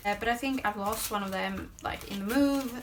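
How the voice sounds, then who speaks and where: Noticeable background noise sits behind a woman speaking. She keeps a moderate pace. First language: Swedish. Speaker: lifestyle vlogger. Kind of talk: product haul video. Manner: casual, hesitant with fillers.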